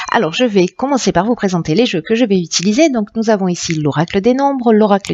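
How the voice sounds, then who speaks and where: A woman talks with lively intonation. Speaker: tarot reader. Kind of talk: tarot reading. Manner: halting, many fillers.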